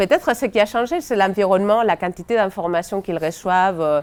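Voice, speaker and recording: Speaking at a fairly quick pace in a Spanish accent, a woman keeps a medium pitch with ordinary pitch variation. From Spain. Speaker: education researcher. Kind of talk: seminar talk. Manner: hesitant, many fillers.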